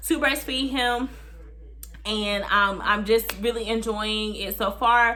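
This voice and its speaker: A woman talks at a fairly high pitch. She has a plain, everyday voice. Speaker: vlogger, new mother. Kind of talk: casual vlog talk to camera.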